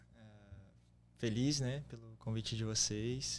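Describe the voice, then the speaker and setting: With fairly level intonation and a medium pitch, the man talks fairly slowly. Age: 20s. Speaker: church youth leader. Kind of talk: testimony.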